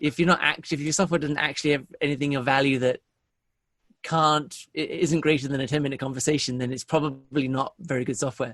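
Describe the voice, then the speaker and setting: A man with a British accent and a fairly high pitch talks at a very fast pace with fairly even intonation against a quiet background. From England. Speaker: sales software founder. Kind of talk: podcast interview. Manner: repetitive false starts.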